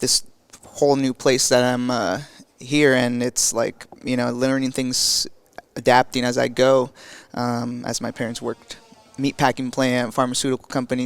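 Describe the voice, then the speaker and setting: Against noticeable background noise, a man with a Spanish accent speaks at medium pitch with monotone, flat intonation. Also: moderate pace. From Mexico, then Nebraska, US. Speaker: physical therapy student. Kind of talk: podcast interview. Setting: conference. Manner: halting, many fillers.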